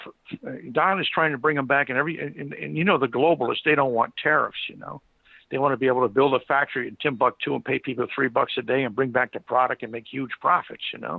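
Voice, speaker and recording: Speaking very fast, a man with an American accent uses a fairly high pitch. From United States. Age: 60s. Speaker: retired blue-collar worker. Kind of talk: casual chat. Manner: halting.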